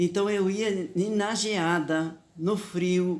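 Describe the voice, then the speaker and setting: This is a woman talking. Her pitch is medium. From southern Brazil, Italian-descended community (Guaporé, Rio Grande do Sul). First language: Talian (Venetian-based Italian dialect) (speaking Portuguese). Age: 80s+. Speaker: elderly woman telling her life story. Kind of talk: personal storytelling.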